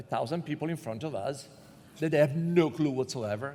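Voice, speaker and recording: A man in an Italian accent speaks at a moderate pace, his fairly high pitch showing ordinary pitch variation. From Italy. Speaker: panel moderator. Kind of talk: comedic panel discussion.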